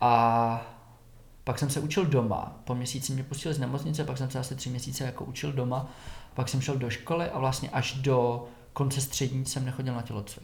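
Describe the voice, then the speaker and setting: Somewhat breathy at medium pitch, a man talks at a fairly quick pace with monotone, flat intonation amid audible room echo. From Czech Republic, Šumava region (southwest Bohemia). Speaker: yoga teacher. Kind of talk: casual interview about his life.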